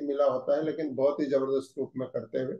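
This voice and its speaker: A man speaks in a Haryanvi accent. His pace is moderate. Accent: Haryanvi-accented Hindi. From Haryana, India. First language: Haryanvi (speaking Hindi). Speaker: managing director of a direct-selling company. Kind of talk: corporate training session address.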